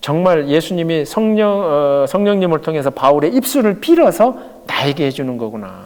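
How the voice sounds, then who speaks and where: A man's high-pitched, animated voice at a moderate pace, with ordinary pitch variation and noticeable background noise. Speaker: pastor. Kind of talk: Bible study lecture.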